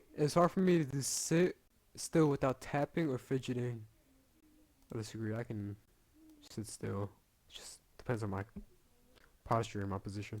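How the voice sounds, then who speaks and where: Mumbling at medium pitch and a moderate pace, a man uses lively intonation, big swings in loudness and long, frequent pauses. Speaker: gaming youtuber. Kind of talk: casual commentary while taking an online quiz. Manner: halting, stammering repeats.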